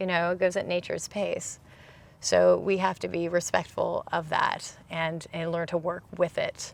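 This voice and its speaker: Here a woman speaks with a Californian accent. Her pace is moderate. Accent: General American (Californian). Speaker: almond grower. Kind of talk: casual interview.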